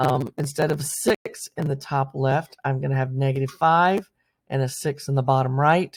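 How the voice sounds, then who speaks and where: A moderate pace in a very clean recording with a silent background. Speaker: math teacher. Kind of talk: lecture.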